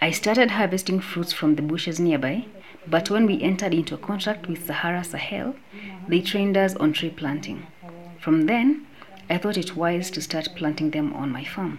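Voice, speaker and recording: Over noticeable background noise, a woman talks in a fairly low pitch with ordinary pitch variation. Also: moderate pace. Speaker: smallholder farmer. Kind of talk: interview testimony.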